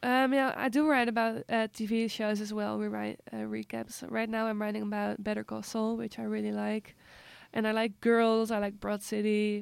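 Recorded very cleanly against a silent background, a woman speaks at a moderate pace in a Dutch accent. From Amsterdam, Netherlands. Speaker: film journalist. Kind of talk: casual interview.

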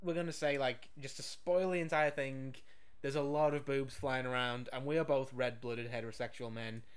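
With audible room echo, a man speaks at a fairly quick pace and medium pitch with fairly even intonation. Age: 30s. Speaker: podcast co-host reviewing films. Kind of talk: casual chat.

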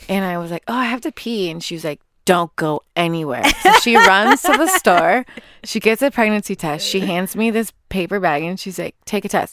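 A woman with an American accent at a moderate pace, lively intonation and big swings in loudness, in a dry, close sound with no echo. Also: medium pitch for a woman. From Los Angeles, US West Coast. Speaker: guest mother sharing birth story. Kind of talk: casual interview chat. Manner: halting, many fillers.

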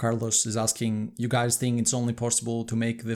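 This man has an ordinary speaking voice at a medium pitch, moving at a fairly quick pace. The recording is very clean, with a silent background. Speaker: podcast co-host. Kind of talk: casual livestream discussion. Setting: live stream on video.

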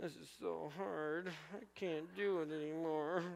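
A put-on character voice speaks at a middle pitch and a fairly slow pace. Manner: whining, defeated.

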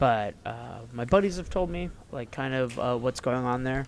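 Lively in intonation, a man with an American accent and medium pitch speaks at a fairly slow pace. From US North, Ohio side of the Ohio River. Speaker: gaming podcast co-host. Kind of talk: casual chat.

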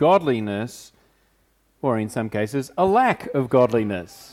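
A man with an unremarkable speaking voice talks fairly slowly at a medium pitch, his intonation lively. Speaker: pastor. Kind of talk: sermon. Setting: church.

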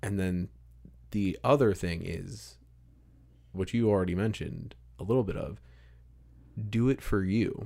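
The voice is dark and mellow, at a moderate pace with ordinary pitch variation and long, frequent pauses. The recording is very clean, with a silent background. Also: man, fairly low pitch for a man. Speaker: podcast host. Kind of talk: casual interview conversation. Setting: home studio with pop screens. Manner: measured radio-style cadence.

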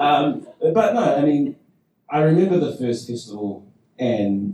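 A man's very slow, somewhat breathy voice, dark and mellow, with very wide pitch swings. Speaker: improv performer and teacher. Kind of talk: panel discussion.

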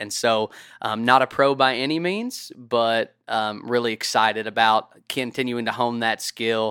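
A man speaks with an American accent in a bright, sharp tone. The recording is very clean, with a silent background. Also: dry, close sound with no echo. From Kentucky. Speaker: hunter. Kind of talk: casual chat.

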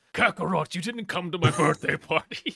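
In a put-on character voice, a man speaks with a gruff, guttural quality. His pitch is high and his pace moderate. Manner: harsh, guttural, gruff.

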